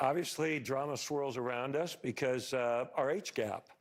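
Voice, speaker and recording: This man has a normal speaking voice at medium pitch, with ordinary pitch variation. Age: 60s. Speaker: reality TV participant, wealthy older partner. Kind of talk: talk show conversation.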